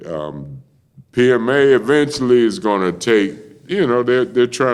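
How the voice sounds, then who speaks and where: In a fairly low voice, the man speaks at a moderate pace. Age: 60s. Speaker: retired dockworker and former prisoner. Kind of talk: casual chat. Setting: podcast studio. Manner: halting, repetitive.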